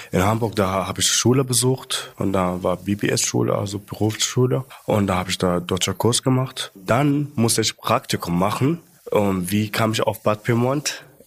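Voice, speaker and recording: A man with an Arabic accent, fairly low-pitched, with ordinary pitch variation and a moderate pace. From Libya (Sudanese roots). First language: Arabic (speaking German). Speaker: shift leader and social media creator. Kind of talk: casual interview. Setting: recorded at company headquarters in Munich.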